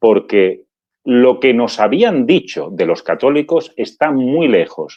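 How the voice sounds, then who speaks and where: A man speaks at a medium pitch with an Andalusian accent. His pitch swings very widely. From Andalusia, Málaga. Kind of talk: interview testimony.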